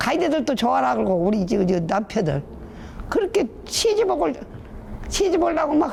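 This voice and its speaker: A woman speaks fairly quickly in a Jeolla accent, her pitch swinging very widely. Noticeable background noise runs underneath. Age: 80s+. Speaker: rural elder interviewee. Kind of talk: casual interview.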